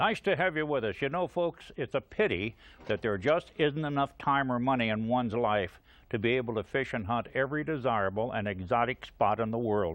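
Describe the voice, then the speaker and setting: In an ordinary speaking voice, a man talks at a medium pitch and a fairly quick pace with lively intonation. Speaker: TV outdoor show host. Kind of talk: TV show host talk to camera.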